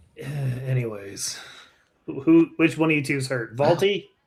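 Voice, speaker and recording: A man puts on a raspy character voice, pitched fairly high and delivered at a moderate pace. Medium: actual play. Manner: dry, wisecracking.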